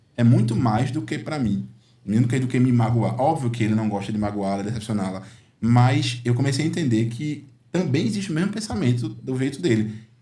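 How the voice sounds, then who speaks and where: Audible room echo surrounds a man speaking at a fairly quick pace, his dark, mellow tone at medium pitch with vocal fry and ordinary pitch variation. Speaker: uncle and father figure to a nephew. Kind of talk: podcast conversation. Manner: halting, many fillers.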